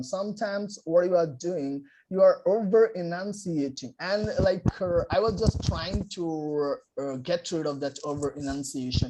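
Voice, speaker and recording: A man with a non-native accent, high in pitch and dark, mellow in tone, at a fairly slow pace with ordinary pitch variation. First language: non-native English speaker. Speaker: English learner and channel host. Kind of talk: interviewer in conversation.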